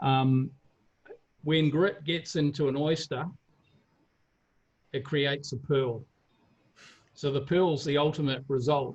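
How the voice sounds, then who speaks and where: Speaking with a New Zealand accent, a man with a fairly high pitch keeps a fairly even intonation and very even loudness, leaving long, frequent pauses. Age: 60s. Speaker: fitness coach and former athlete. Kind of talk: interview. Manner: halting, many repeated words.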